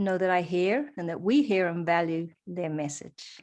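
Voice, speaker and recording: Fairly slow speech in a New Zealand accent over a quiet background. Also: woman. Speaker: holistic practitioner and coach. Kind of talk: interview. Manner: hesitant, many fillers.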